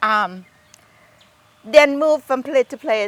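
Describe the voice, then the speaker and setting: A woman talks with ordinary pitch variation, and the sound is dry and close with no echo. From Thailand. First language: Thai. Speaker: garden owner. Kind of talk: interview. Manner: halting.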